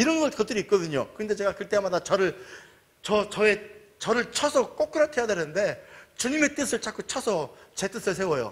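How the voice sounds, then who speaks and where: Animated and high-pitched, a man talks at a fairly quick pace with lively intonation. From Jeolla region, South Korea. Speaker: pastor. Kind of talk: sermon.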